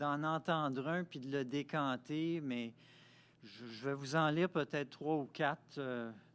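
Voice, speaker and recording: The pace is very slow as a man speaks. His recording is very clean, with a silent background. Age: 60s. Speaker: poet and author. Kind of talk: interview.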